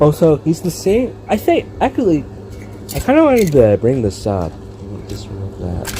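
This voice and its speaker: The man speaks at a moderate speed. Background noise is noticeable throughout. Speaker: toy reviewer. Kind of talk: casual review vlog. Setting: indoors, filming in a room. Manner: rambling with fillers.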